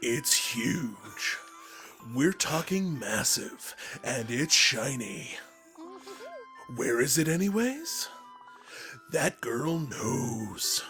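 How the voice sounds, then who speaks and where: A put-on character voice in a low-to-middle pitch moves at a very slow pace. Clear music plays in the background. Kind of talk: movie trailer voice. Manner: dramatic.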